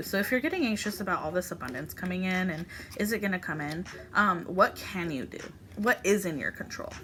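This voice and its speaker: A woman's animated tone and lively intonation over noticeable background noise. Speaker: tarot reader. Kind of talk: tarot reading. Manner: casual, animated.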